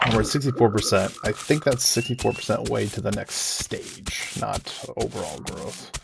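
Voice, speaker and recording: A man keeps a moderate pace with hardly any pauses while noticeable background noise plays behind him. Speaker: gaming video creator. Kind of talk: gameplay commentary. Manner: hesitant, many fillers.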